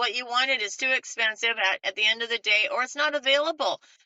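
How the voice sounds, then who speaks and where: This is a woman speaking. Her pitch is high. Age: 60s. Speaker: architect and custom home builder. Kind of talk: interview. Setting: podcast.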